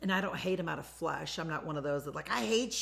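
A woman with a fairly low pitch, vocal fry and an animated tone. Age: 40s. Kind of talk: solo motivational talk, live-streamed. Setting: lake house, live stream recording.

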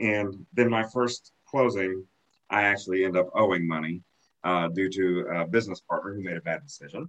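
With a Missouri accent, a man speaks at a moderate pace in a bright, sharp tone. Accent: Midland American, rural Missouri. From rural Missouri, Lake of the Ozarks area. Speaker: realtor and professional association chapter president. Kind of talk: podcast interview. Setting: video call.

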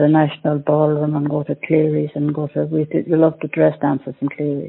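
A woman speaks with an Irish accent in a very deep, low pitch. Her intonation is monotone and flat. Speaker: older person in lockdown, diarist. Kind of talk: audio diary.

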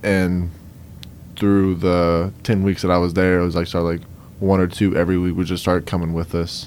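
At a moderate pace, a man with a Cajun accent talks in a very deep, low pitch with monotone, flat intonation. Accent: Southern Louisiana Cajun. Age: 20s. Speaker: guest, young National Guard member. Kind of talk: radio interview.

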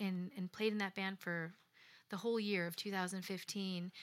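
A normal speaking voice comes through a very clean recording with a silent background, moving at a fairly slow pace with fairly even intonation. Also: woman. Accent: American. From US Midwest, Chicago south suburbs. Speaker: singer-songwriter. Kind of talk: radio interview. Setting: live radio performance with audience.

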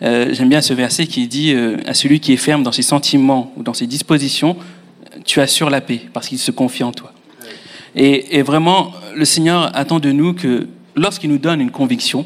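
At a moderate pace, a man speaks at a fairly high pitch with ordinary pitch variation and long, frequent pauses. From Mauritius. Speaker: future pastor. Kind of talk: testimony.

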